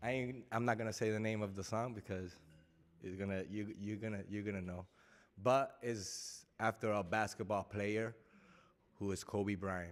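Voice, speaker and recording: On a very clean recording with a silent background, a man speaks at a moderate pace in a fairly low, monotone, flat voice. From Puerto Rico. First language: Spanish. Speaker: rapper. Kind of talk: stage chat.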